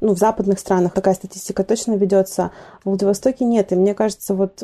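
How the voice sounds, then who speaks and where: A woman speaks at a medium pitch with a dark, mellow tone. Her delivery is monotone, with flat intonation. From Vladivostok, Russian Far East. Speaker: art center director, curator. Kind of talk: casual interview.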